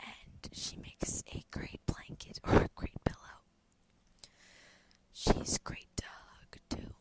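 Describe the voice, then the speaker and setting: Someone is whispering at a very slow pace. The whisper has long, frequent pauses. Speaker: ASMR creator. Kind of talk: ASMR whisper rambling to camera. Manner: whispered.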